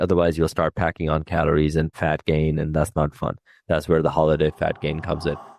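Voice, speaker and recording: Over a quiet background, a man with a very deep, low voice talks at a very fast pace in a dry, close sound with no echo. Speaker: fitness coach and podcast host. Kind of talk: podcast monologue. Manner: casual, conversational.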